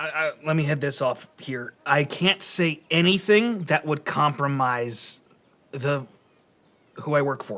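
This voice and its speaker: A man puts on a raspy character voice at a fairly high pitch. He talks at a fairly slow pace. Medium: actual play. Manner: hesitant, stammering, evasive.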